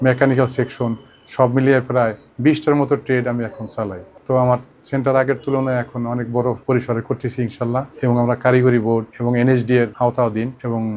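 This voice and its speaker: A man's medium-pitched voice stays monotone and flat. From Bangladesh, Faridpur district. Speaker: vocational training centre owner, former migrant worker. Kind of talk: testimony.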